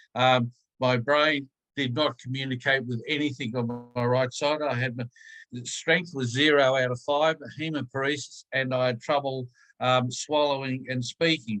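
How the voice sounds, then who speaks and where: With music in the background, a man with an Australian accent speaks in a monotone, flat intonation. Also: medium pitch for a man, moderate pace. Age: 70s. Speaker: stroke survivor. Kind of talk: personal testimony in webinar. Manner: hesitant.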